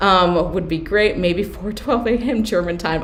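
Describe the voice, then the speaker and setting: Amid noticeable background noise and audible room echo, a woman talks at a medium pitch with ordinary pitch variation. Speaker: Etsy seller and business coach. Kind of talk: live stream Q&A workshop. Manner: fast.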